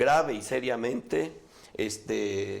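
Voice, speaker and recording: His medium-pitched voice, that of a man, shows ordinary pitch variation. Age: 60s. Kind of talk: radio interview.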